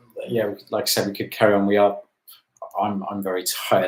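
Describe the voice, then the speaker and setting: A man with a Welsh accent at a fairly quick pace. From Wales. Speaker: YouTuber. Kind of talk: live stream chat. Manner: halting.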